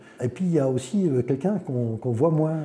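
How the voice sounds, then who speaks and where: A man talks with lively intonation. Noticeable background noise sits behind him. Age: 60s. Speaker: patient. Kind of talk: testimony. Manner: halting.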